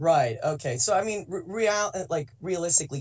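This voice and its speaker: Somewhat breathy and at a moderate pace, a man talks with an American accent. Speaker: caller. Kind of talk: call-in discussion. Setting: phone call. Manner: halting.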